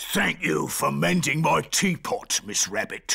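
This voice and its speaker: In a cartoonish, growling character voice, a man speaks at a fairly slow pace and fairly high pitch. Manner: loud, hearty.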